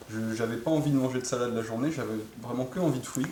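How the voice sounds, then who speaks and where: Over noticeable background noise, a man speaks very fast at a medium pitch with ordinary pitch variation. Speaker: interviewer, cycle traveller. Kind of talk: casual interview questions.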